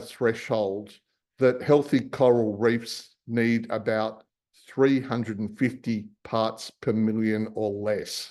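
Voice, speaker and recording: Someone with an Australian accent speaks at a very slow pace against a quiet background. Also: man. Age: 60s. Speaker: marine scientist and company founder. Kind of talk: public talk with slides.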